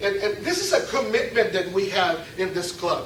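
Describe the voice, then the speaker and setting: A man speaks at a moderate pace with very wide pitch swings. Noticeable background noise and audible room echo fill the recording. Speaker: club member giving a speech. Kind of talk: prepared speech. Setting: club meeting with audience. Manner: interactive, asks audience questions.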